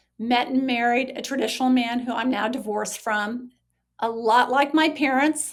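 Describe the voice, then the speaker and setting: Fairly even in intonation, a woman with a high pitch speaks at a moderate pace. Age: 60s. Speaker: social worker and recovery author. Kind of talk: podcast interview.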